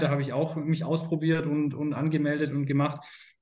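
Audible room echo around a man with a fairly high pitch, at a moderate pace. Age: 30s. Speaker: sales consultant. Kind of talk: interview.

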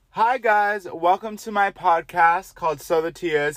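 A man is speaking. His pace is fairly slow. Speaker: podcast host. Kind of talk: casual monologue.

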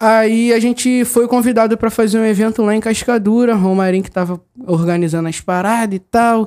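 Fairly quick and with hardly any pauses, a man speaks at a high pitch with fairly even intonation. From Rio de Janeiro, Bangu. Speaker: rapper and MC. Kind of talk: casual chat.

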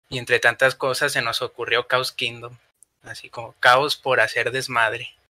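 A man with a Mexican accent talks at a moderate pace with big swings in loudness. The sound is dry and close, with no echo. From Mexico. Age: 20s. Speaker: podcast producer. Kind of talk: casual chat.

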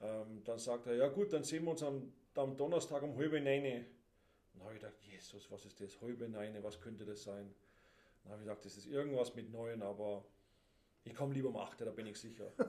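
A man's dark, mellow tone at a fairly quick pace, broken by long, frequent pauses, with big swings in loudness. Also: medium pitch for a man, ordinary pitch variation. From Denmark. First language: Danish (speaking German). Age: 50s. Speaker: handball player. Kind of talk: casual chat.

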